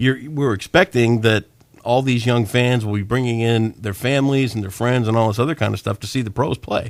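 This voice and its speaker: At a fairly quick pace, a man with a Midwestern American accent speaks at medium pitch with ordinary pitch variation. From Michigan, Sparta area. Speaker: radio host. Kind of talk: casual chat.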